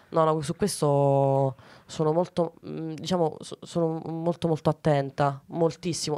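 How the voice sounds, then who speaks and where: A woman talks in a very deep, low pitch with monotone, flat intonation. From Ciociaria, Lazio (Arpino, Frosinone); Lazio. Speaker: comedian; comedian guest. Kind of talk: casual interview. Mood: playful, amused. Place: studio. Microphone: studio mic.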